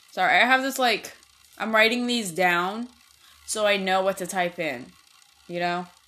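Speaking at a moderate pace with long, frequent pauses, a woman with a medium-pitched voice is heard over noticeable background noise. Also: ordinary pitch variation. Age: 20s. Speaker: podcast host. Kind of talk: casual chat. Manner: rambling, filler-heavy.

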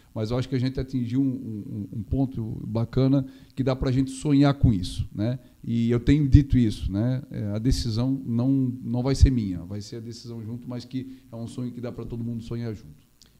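Speaking at a moderate pace and medium pitch, a man has a dark, mellow tone, fairly even intonation and big swings in loudness. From Santa Catarina, Brazil (Gaspar). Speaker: mayor. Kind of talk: interview. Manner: halting.

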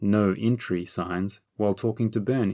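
A man with an unremarkable speaking voice talks at a fairly low pitch with ordinary pitch variation. The recording is very clean, with a silent background and a dry, close sound without echo. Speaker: audiobook narrator. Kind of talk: audiobook reading of a fantasy story, voicing characters in dialogue. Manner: measured storyteller pacing, with shifts in tone for each character.

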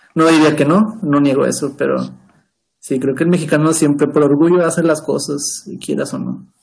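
A man's fairly high voice with vocal fry, fairly even intonation and a moderate pace. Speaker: podcast co-host. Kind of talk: casual chat. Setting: at home.

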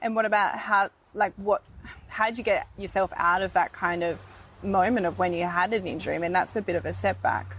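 Fairly quick and fairly even in intonation, a woman talks in an unremarkable speaking voice at medium pitch. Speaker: podcast host. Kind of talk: interview. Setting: outdoors.

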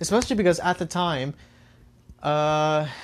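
Here a man's fairly high voice has ordinary pitch variation at a moderate pace. The recording is very clean, with a silent background. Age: 20s. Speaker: podcast host. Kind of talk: casual solo monologue. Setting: home, record player nearby. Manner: halting, many repetitions and fillers.

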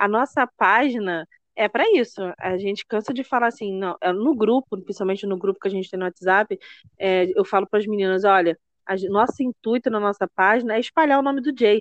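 A plain, everyday voice from a woman at medium pitch, fairly quick in pace with ordinary pitch variation, dry and close with no echo. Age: 40s. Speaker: podcast host. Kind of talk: casual chat.

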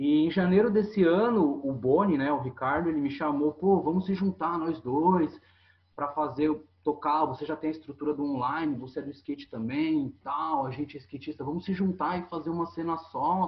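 A man speaks in a plain, everyday voice, pitched fairly high. His pace is moderate, with ordinary pitch variation. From São Paulo state coast, Brazil. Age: 30s. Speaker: skate shop owner. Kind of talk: casual interview chat.

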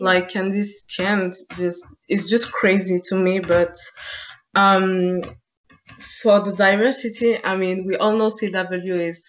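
A woman in a French accent at a fairly slow pace. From France. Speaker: podcast co-host. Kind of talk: casual chat.

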